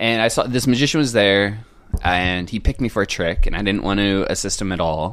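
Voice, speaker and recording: A man with an unremarkable speaking voice and an American accent speaks fairly quickly at a fairly low pitch with ordinary pitch variation. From US West Coast, San Diego (North County). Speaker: magician. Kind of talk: casual chat.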